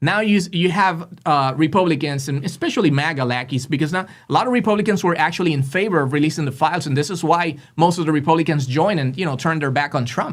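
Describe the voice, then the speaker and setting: Hardly pausing, a man speaks very fast in a Spanish accent. His fairly high pitch shows ordinary variation. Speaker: political podcast host. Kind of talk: casual political commentary. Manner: halting, many fillers; animated.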